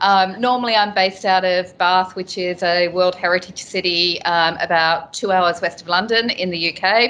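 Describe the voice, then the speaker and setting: With an Australian accent, a woman talks at a moderate pace with hardly any pauses. Her medium-pitched voice has a bright, sharp tone and fairly even intonation. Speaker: telecom technology executive. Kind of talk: business presentation. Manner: halting, many fillers.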